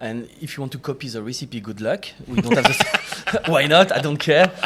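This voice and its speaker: A man with a French accent at a fairly high pitch, lively intonation, big swings in loudness and a fairly quick pace, over noticeable background noise. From France, near Chartreuse area. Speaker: distiller. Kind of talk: casual chat. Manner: halting.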